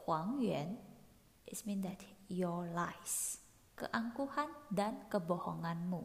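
With an Indonesian accent, a woman speaks in a somewhat breathy voice with lively intonation. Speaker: podcast host. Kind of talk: solo podcast explaining song lyrics. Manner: casual, chatty.

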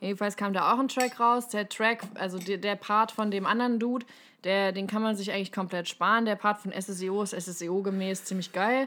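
On a very clean recording with a silent background, a woman speaks at medium pitch with a bright, sharp tone. Her intonation stays fairly even, and her pace is moderate. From Hesse, Germany. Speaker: podcast co-host. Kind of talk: casual chat.

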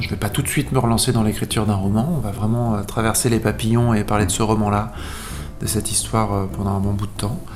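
A man with a fairly low pitch talks at a fairly quick pace, with audible room echo and music in the background. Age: 30s. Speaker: singer-songwriter and author. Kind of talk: radio interview.

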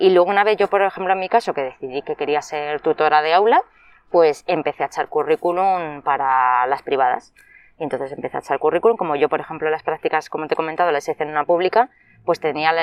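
Here the pitch is very deep and low for a woman. She talks very fast. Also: ordinary pitch variation. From Madrid, Spain. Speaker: early childhood educator. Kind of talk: interview.

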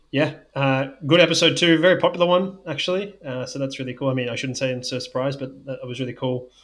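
With an Australian accent, a man of fairly high pitch rattles along at a very fast pace with fairly even intonation. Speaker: sports scientist and podcast co-host. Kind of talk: casual podcast chat.

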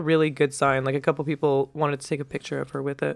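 Delivery is very fast. The speaker has an American accent. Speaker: podcast host. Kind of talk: casual chat. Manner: joking, playful.

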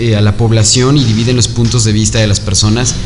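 A man's medium-pitched voice, with audible room echo and noticeable background noise. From Mexico, Zacatecas. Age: 20s. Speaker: podcast co-host, actor. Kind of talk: casual chat. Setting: café.

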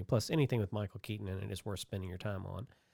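A man speaks very fast in a fairly low pitch with a dark, mellow tone, on a very clean recording with a silent background. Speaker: branding agency owner and podcast host. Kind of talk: casual chat.

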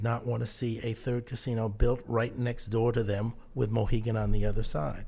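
A man talks at a moderate pace in a dark, mellow tone that is somewhat breathy, with fairly even intonation. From southern New England (Mystic, Connecticut). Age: 60s. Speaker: leadership and management consultant. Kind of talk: interview.

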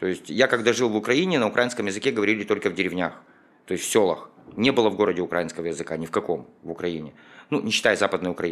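On a very clean recording with a silent background, a man with a fairly low pitch talks at a very fast pace with lively intonation. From Ukraine. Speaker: business owner. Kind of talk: interview.

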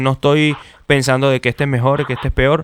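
A man's fairly high voice in a Venezuelan accent, fairly quick, dry and close with no echo, on a very clean recording with a silent background. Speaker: podcast host. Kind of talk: casual chat.

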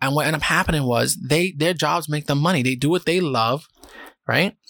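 With a New York accent, a man talks at a moderate pace. His pitch is fairly high, with ordinary variation. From New York City, South Bronx. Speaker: podcast host. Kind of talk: casual solo monologue. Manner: calm, less energetic than usual.

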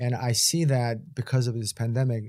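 Recorded very cleanly against a silent background, a man speaks at a medium pitch in a somewhat breathy, dark, mellow tone. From Korean heritage. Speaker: physician and podcast co-host. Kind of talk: casual chat.

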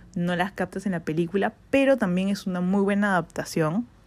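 A woman speaks at a moderate pace and medium pitch with fairly even intonation in a plain, everyday voice, on a very clean recording with a silent background. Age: 20s. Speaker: podcast host. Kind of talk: casual solo monologue.

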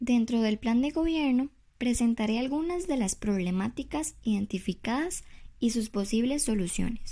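Recorded very cleanly against a silent background, a woman with a dark, mellow tone speaks at a moderate pace, her intonation lively and her loudness very even. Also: fairly high pitch for a woman. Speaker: presidential candidate. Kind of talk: prepared campaign speech read aloud. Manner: formal, read from script with small repetitions.

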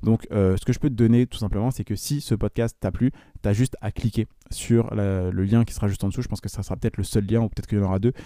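A man speaks very fast in a fairly low pitch with a dark, mellow tone. The sound is dry and close with no echo, on a very clean recording with a silent background. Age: 20s. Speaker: entrepreneur podcaster. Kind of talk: solo podcast monologue. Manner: animated.

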